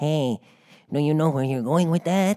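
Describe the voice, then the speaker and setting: Putting on a character voice, a man speaks at a fairly high pitch and moderate pace. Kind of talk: dubbed voiceover delivery.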